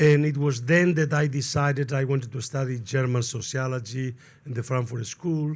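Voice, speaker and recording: With a Spanish accent, a man speaks at a moderate pace in a medium pitch, somewhat breathy, with fairly even intonation. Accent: clear Spanish accent in English. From Spain. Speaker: sociologist, panel speaker. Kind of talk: panel talk. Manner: digressive, halting.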